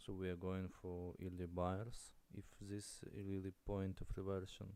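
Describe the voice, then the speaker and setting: With a non-native accent, a man speaks very slowly in a very deep, low pitch, his tone dark and mellow and his intonation monotone and flat. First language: not English. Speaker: day trader streamer. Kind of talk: live trading commentary. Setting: live stream. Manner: halting.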